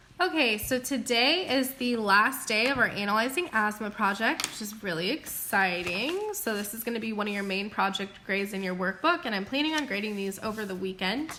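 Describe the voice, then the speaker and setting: A woman talks at a fairly quick pace with hardly any pauses. Her fairly high voice sits over noticeable background noise. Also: lively intonation. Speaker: school teacher. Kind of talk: recorded lesson. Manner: fast.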